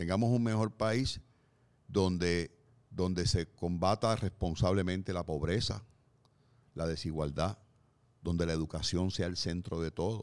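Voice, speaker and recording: With long, frequent pauses, a man speaks in a very deep, low voice on a very clean recording with a silent background. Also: ordinary pitch variation, fairly slow pace. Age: 60s. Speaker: podcast co-host, columnist. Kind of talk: casual discussion.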